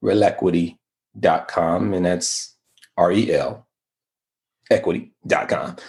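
A man with an American accent at a very slow pace, in a quiet background. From Oakland, California (Bay Area). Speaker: real estate investor. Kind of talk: casual interview.

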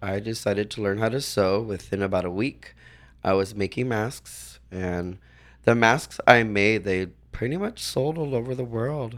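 On a very clean recording with a silent background, a man talks in an ordinary speaking voice at medium pitch with ordinary pitch variation. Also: moderate pace. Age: 40s. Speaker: leather titleholder. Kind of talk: casual chat.

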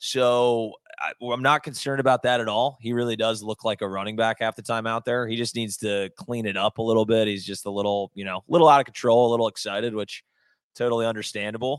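Very fast speech from a man at a medium pitch. The intonation stays fairly even. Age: 30s. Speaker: sports podcast co-host. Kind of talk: casual sports talk.

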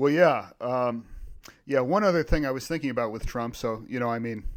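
This man has an American accent and a medium pitch. The recording is very clean, with a silent background. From Virginia. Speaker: philosopher podcast co-host. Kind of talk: casual chat.

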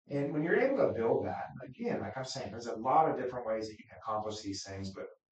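A man speaks with an American accent. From Wichita, Kansas. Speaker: county commissioner. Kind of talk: interview.

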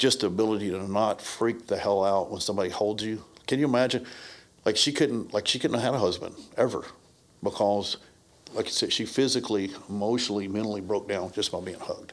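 A man talks at a very fast pace. His pitch is fairly low, and his intonation fairly even. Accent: Southern US. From US South (Brownsville, Tennessee). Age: 50s. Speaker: martial arts instructor. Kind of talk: casual chat.

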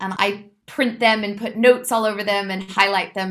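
A woman's voice in a Californian accent, at a moderate pace with fairly even intonation. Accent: American (Californian). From California, US. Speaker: movement director and choreographer. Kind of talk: interview.

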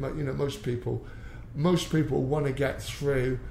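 A man speaks with a West Country accent at a moderate pace. Room echo is audible. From England, Exeter, Devon. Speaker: MMA coach, former policeman. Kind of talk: interview. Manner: halting, repeats words.

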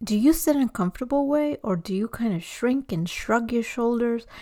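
A woman speaks in a plain, everyday voice at a moderate pace, her fairly high pitch showing ordinary variation. The sound is dry and close, with no echo. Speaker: podcast host. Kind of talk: scripted intro and interview.

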